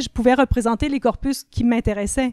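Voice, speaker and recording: A woman with a fairly high voice speaks at a moderate pace in a fairly even tone, recorded dry and close with no echo. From Ontario, Canada (francophone, Quebecois parents). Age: 50s. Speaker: literature professor and writer. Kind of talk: podcast interview.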